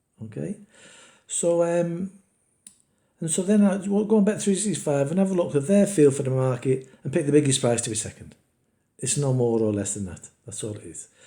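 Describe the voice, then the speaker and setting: A man's dark, mellow, somewhat breathy tone with very wide pitch swings, big swings in loudness, and long, frequent pauses. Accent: British. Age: 60s. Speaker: betting YouTuber. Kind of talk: casual screen-share tutorial. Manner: casual, halting with fillers.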